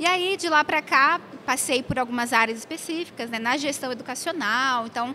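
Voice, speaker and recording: At a moderate pace, a woman speaks in a raised, projected, high-pitched voice with ordinary pitch variation. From Brazil, São Paulo city. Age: 20s. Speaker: theology teacher. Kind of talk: casual interview. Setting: convention hallway.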